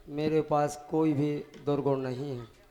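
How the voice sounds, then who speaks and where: A man speaks at a fairly high pitch with fairly even intonation. Music plays in the background. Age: 60s. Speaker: retiring government education employee. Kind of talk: farewell speech. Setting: stage with audience. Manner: formal.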